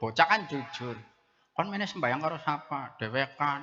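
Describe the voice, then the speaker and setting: With a strong Central Javanese accent, a man speaks at a moderate pace. His intonation is lively, and there is noticeable background noise. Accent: strong Brebes Javanese (medhok). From Brebes, Central Java. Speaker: preacher. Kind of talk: humorous sermon. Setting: mosque gathering with audience. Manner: animated.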